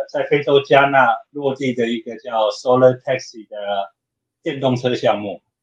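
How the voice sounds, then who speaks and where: With fairly even intonation, a man of medium pitch talks at a fairly slow pace. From Taiwan. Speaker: open hardware maker advocate. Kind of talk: casual interview chat.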